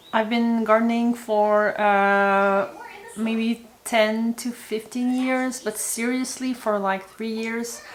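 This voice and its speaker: In a Quebec accent, the speaker talks at a very slow pace with monotone, flat intonation. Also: woman. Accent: French-Canadian accent in English. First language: French. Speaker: homesteading vlogger. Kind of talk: casual talk to camera. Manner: halting, many fillers and repeats.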